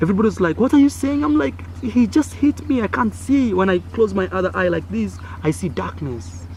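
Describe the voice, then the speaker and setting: Against noticeable background noise, a man with an East African accent talks at a fairly quick pace. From Kenya. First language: Swahili. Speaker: vlogger. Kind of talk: storytelling. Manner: animated.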